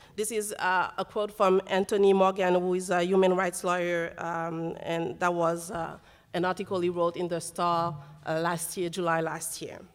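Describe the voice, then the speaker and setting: A woman speaks with a French accent. Her intonation is monotone and flat. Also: fairly low pitch for a woman, moderate pace. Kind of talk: panel discussion. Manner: halting.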